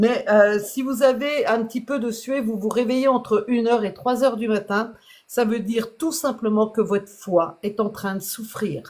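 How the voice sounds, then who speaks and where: This woman uses an ordinary speaking voice, pitched fairly high. She speaks at a fairly slow pace with ordinary pitch variation. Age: 60s. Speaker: health product seller. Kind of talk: sales pitch. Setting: live stream.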